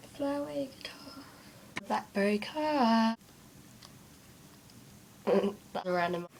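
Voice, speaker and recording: Over noticeable background noise, a woman speaks at a fairly high pitch. Her pitch swings very widely, and she leaves long, frequent pauses. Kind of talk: casual talk to camera.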